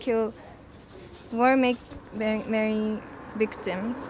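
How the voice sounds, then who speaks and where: Intonation stays monotone and flat in this voice with a Japanese accent. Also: woman. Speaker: protester. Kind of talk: interview. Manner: halting.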